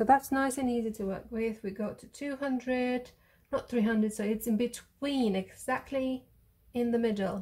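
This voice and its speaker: In a quiet setting, a woman with a dark, mellow tone speaks at a fairly slow pace with fairly even intonation. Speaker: maths teacher. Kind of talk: tutorial.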